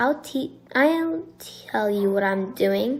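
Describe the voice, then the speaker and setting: A woman's put-on character voice, high-pitched and at a very slow pace. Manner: menacing, teasing.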